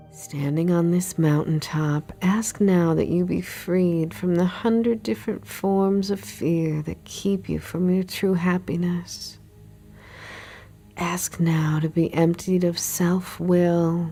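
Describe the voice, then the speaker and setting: A woman speaks very slowly in a calm, soothing tone, her pitch fairly low with ordinary variation. Music plays in the background. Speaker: meditation guide. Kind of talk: guided meditation. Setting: studio recording with background music. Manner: slow, calm, soothing.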